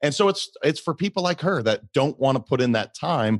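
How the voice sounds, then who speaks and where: Against a quiet background, a man with an American accent talks at a moderate pace in an animated tone, the sound dry and close with no echo. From Montana. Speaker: company founder and CEO. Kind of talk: podcast interview.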